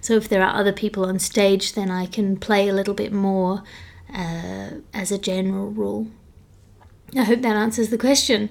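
A woman's medium-pitched voice with fairly even intonation, on a very clean recording with a silent background. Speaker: comedian and podcast host. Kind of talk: solo Q&A podcast, casual monologue. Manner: fast.

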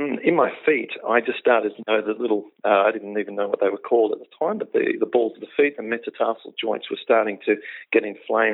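The speech moves at a fairly quick pace in an Australian accent. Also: man. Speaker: health coach, former comedian. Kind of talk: interview. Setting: phone call.

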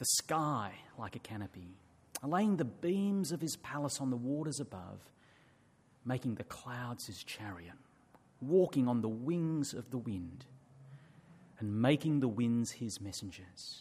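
A man of medium pitch, somewhat breathy, speaks at a fairly slow pace with lively intonation and long, frequent pauses. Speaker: scripture reader. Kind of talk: reading aloud. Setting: church.

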